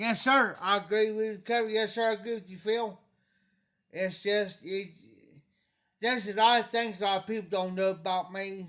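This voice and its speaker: A loud man with a high pitch and a bright, sharp tone speaks at a moderate pace with fairly even intonation. He leaves long, frequent pauses in a very clean recording with a silent background. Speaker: livestreamer. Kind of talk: casual chat. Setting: livestream.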